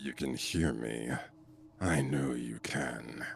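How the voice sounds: With music in the background, a man uses a put-on character voice, growling at a very deep, low pitch in a menacing tone at a very slow pace.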